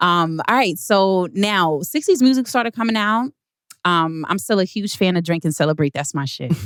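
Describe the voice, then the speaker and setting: In an ordinary speaking voice, a woman talks at a moderate pace with a medium pitch and lively intonation. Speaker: podcast host. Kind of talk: casual podcast conversation.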